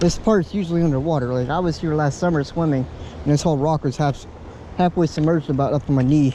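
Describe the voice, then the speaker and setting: Very fast and very even in loudness, a man with an American accent speaks at a fairly high pitch. His intonation stays fairly even over noticeable background noise. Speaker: outdoor vlogger. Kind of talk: casual vlog narration. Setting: outdoors by a river.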